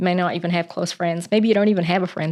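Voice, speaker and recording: A woman with a New Zealand accent, fairly low in pitch, in a monotone, flat delivery. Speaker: Bible reading channel host. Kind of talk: casual chat, then reading aloud. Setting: at home.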